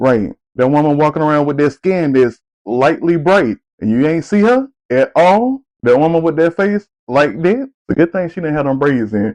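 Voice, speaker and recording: Lively intonation marks this man's ordinary speaking voice. His pitch is fairly high and his pace moderate. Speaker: podcast host. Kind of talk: casual podcast talk. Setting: studio, distorted mics.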